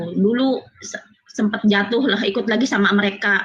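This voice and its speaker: Speaking with a West Javanese accent, a woman uses a fairly high voice with ordinary pitch variation. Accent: Sundanese. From Cianjur, West Java (Sundanese). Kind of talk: testimony on video call.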